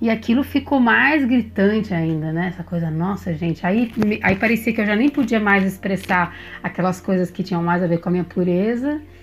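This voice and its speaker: A woman talks at a moderate pace and a medium pitch with lively intonation. Noticeable background noise sits behind her. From Brazil, São Paulo. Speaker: musician and therapist. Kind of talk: interview.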